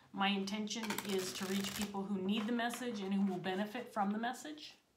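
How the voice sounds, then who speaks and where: A woman speaks at a fairly quick pace. Noticeable background noise is present. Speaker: tarot reader. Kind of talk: tarot reading intro, casual vlog chat. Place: home room. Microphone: phone near.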